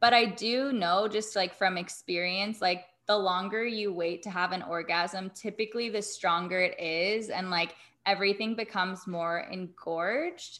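With an American accent, a woman in a plain, everyday voice talks at a medium pitch and a moderate pace, her intonation fairly even. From US South, Atlanta. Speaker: intimacy coach and yoga teacher. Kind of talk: casual interview chat.

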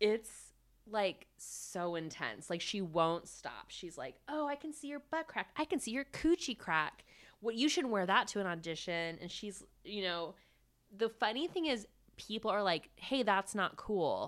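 On a very clean recording with a silent background, a woman of medium pitch speaks at a fairly slow pace with very wide pitch swings. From small town. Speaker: podcast co-host. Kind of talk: casual chat.

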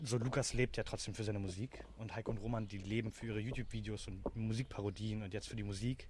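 With a normal speaking voice at medium pitch, a man talks at a fairly quick pace and keeps his intonation fairly even. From Germany, Berlin. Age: 20s. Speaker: startup founder. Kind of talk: interview. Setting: in person recording.

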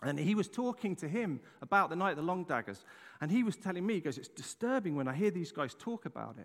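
Speaking at a very fast pace, this man has a high pitch. His tone is animated. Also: lively intonation. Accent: English. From England. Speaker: pastor. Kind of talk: sermon. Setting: church.

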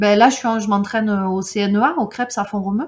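A woman's medium-pitched, somewhat breathy voice. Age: 30s. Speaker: mountaineer and trail runner. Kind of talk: casual chat.

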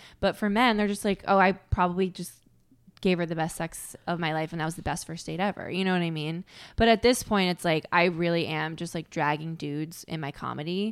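A woman with an American accent and an unremarkable speaking voice talks at a fairly quick pace. Her pitch is fairly low and her intonation fairly even, in a very clean recording with a silent background. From Connecticut. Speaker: stand-up comedian. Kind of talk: casual chat.

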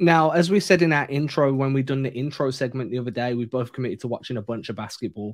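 A man with an English accent talks at a very fast pace with hardly any pauses. His medium pitch shows ordinary variation. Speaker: basketball podcast co-host. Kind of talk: casual chat.

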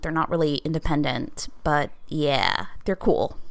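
Here a woman speaks with lively intonation at a fairly slow pace, in a plain, everyday voice. The recording is very clean, with a silent background. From Georgia, US South. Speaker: English teacher, podcast guest. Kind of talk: casual chat.

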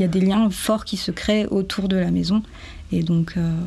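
Speaking at a moderate pace, a woman's somewhat breathy voice carries a dark, mellow tone and monotone, flat intonation. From French Guiana. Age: 20s. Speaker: tiny house dweller, 3D artist and illustrator. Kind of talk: testimony.

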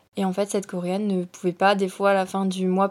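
A woman's medium-pitched voice is captured on a very clean recording with a silent background. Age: 20s. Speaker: business student. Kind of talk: casual chat.

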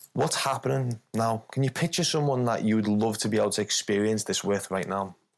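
A man with a plain, everyday voice talks at a fairly quick clip and a medium pitch. His loudness stays very even, and his pitch varies an ordinary amount. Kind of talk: guided meditation.

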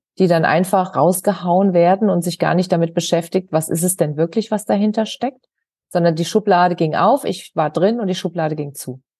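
A woman with a fairly low pitch speaks in a normal speaking voice, her pitch varying in an ordinary way. The background is quiet. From Germany, Hesse (Wiesbaden). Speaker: author and hypnosis coach. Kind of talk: interview.

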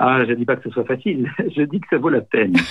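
A man with a plain, everyday voice talks at a fairly quick pace. His pitch varies in an ordinary way. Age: 60s. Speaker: nonviolent communication trainer. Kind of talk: interview.

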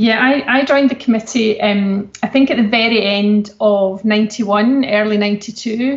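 In a normal speaking voice, a woman with a fairly high pitch talks at a fairly slow pace with hardly any pauses, very even loudness and fairly even intonation. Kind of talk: interview.

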